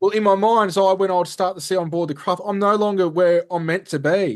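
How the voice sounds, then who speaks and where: Pitched high, a man with an Australian accent talks at a fairly quick pace with fairly even intonation. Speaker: spiritual teacher and ET contact experiencer. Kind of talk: interview. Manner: fast.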